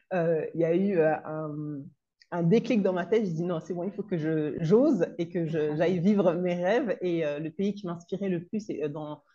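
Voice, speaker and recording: A woman with a fairly low pitch has a dark, mellow tone. She speaks at a fairly slow pace with ordinary pitch variation. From Comoros. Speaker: consultant and trainer on parenting teenagers. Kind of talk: interview. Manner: halting.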